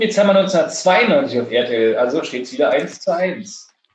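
Amid audible room echo, a man's high pitch swings very widely. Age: 30s. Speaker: podcast host. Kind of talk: casual chat. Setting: recording from home during quarantine.

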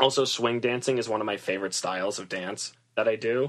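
A normal speaking voice from a man with an American accent, at a fairly quick pace. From Massachusetts, US. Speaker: stylist and theater student. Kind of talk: interview.

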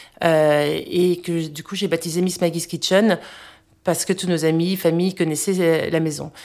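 A woman's fairly low pitch with monotone, flat intonation. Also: fairly slow pace. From United States. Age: 40s. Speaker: food blogger. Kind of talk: casual chat. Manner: halting.

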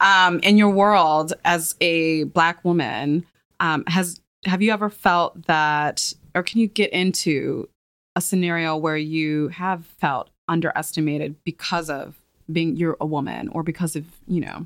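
Recorded very cleanly against a silent background, a normal speaking voice proceeds at a moderate pace with ordinary pitch variation and a dry, close sound with no echo. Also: woman. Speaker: podcast host and magazine editor. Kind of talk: casual interview. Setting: studio.

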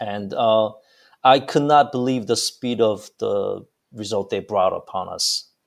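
A man speaks with a Korean accent at a fairly slow pace. The recording is very clean, with a silent background. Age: young. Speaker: pastor. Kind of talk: interview. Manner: halting.

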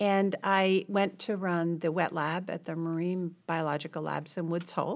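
Here is an unremarkable speaking voice: a woman with a fairly low pitch and fairly even intonation. She keeps a moderate pace with hardly any pauses. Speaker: hospital CEO and physician. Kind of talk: interview.

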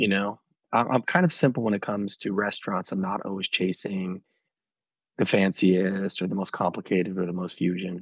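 This is a man with an ordinary speaking voice and fairly low pitch. He talks at a fairly quick pace with fairly even intonation. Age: 40s. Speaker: film director and cookbook co-author. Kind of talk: casual interview chat.

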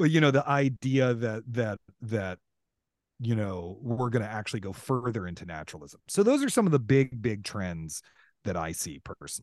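A man has an unremarkable speaking voice of medium pitch, with lively intonation and big swings in loudness at a moderate pace. The sound is dry and close with no echo against a quiet background. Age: 40s. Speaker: author and theater historian. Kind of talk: casual interview conversation.

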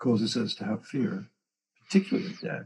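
Talking at a very fast pace, a man sounds somewhat breathy as his pitch swings very widely. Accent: English. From England. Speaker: co-founder and longtime friend of the show. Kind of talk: casual conversation.

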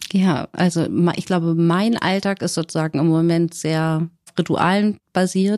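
A woman with an unremarkable speaking voice talks at a fairly slow pace with a fairly low pitch and fairly even intonation, in a dry, close sound with no echo. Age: 30s. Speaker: single mother in shared house. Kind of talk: casual interview.

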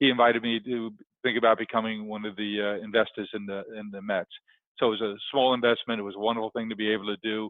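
A man with a New York accent talks at a very fast pace. His intonation is monotone and flat. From New York, South Queens. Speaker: entrepreneur. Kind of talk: interview.

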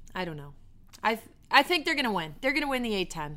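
A woman with an American accent, very fast, with very wide pitch swings and a bright, sharp tone. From New York. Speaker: basketball analyst and podcast co-host, former college player. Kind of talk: casual sports podcast chat. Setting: hotel room.

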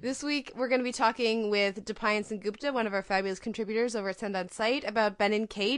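A woman speaks at a very fast pace against a quiet background. Her voice sits fairly high, with ordinary pitch variation. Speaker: podcast host. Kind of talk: casual chat. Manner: halting.

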